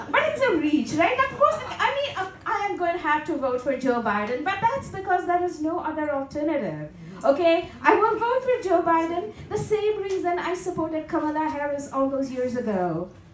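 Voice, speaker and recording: This woman talks at a moderate pace with a Tamil accent, her pitch extremely high and swinging very widely. The room gives off an audible echo. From India. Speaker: stand-up comedian. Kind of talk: stand-up. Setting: stage with audience.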